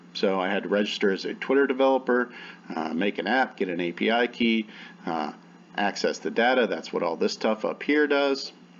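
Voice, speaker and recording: Speaking at a fairly quick pace, a man uses lively intonation at a medium pitch. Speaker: university student. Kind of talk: student presentation, screen-share walkthrough. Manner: fast; hesitant fillers.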